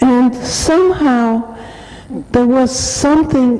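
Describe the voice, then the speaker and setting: Amid noticeable background noise, a woman with a German accent speaks at a very slow pace. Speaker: Holocaust survivor speaker. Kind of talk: testimony.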